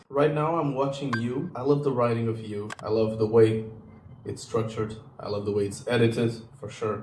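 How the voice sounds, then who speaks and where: A man talks with a Portuguese accent. The room echo is audible and the background noise is noticeable. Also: medium pitch for a man, fairly even intonation, moderate pace. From Portugal. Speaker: YouTuber. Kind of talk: casual vlog chat. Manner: hesitant, with fillers.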